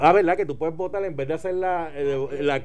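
Speaking at a very fast pace in a room with audible echo, a man uses a high pitch with ordinary pitch variation. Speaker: radio talk show host. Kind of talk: talk radio commentary and interview.

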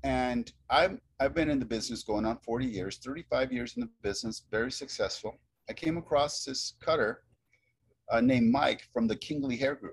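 Speaking with an ordinary speaking voice, a man keeps a moderate pace and a medium pitch with ordinary pitch variation. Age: 50s. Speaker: hair cutting educator. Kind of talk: casual chat. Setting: video call.

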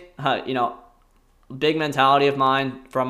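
This man has an ordinary speaking voice, medium in pitch, with fairly even intonation. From US Northeast, rural southern New Jersey. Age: 20s. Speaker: podcast host, former college wrestler. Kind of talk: casual monologue. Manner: rambling, filler-heavy with frequent laughs.

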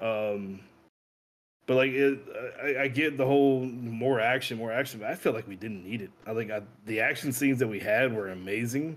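Speaking at a moderate pace and medium pitch, a man uses a plain, everyday voice with ordinary pitch variation. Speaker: guest. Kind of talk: casual chat. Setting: video call.

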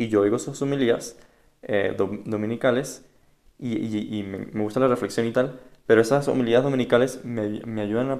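A normal speaking voice with fairly even intonation at a moderate pace. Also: man. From Venezuela (Caracas). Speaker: religious candidate, digital evangelization worker. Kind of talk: casual interview.

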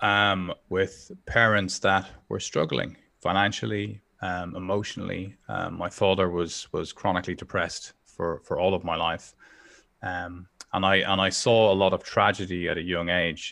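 In a Dublin accent, a man speaks at a fairly slow pace with a very deep, low pitch and fairly even intonation. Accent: Dublin Irish. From Dublin, Ireland (Northside). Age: 40s. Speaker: entrepreneur and personal development coach. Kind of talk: personal testimony in interview. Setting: remote call from home office. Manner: hesitant, many fillers and repetitions.

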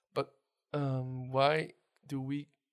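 A man speaks at a medium pitch with a Dutch accent. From Netherlands. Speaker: podcast host. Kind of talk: casual interview.

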